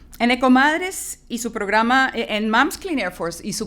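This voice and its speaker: A woman talks at a fairly quick pace in a Spanish accent. Her pitch varies in an ordinary way. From Colombia. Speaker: environmental advocacy coordinator. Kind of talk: press conference opening remarks. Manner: formal.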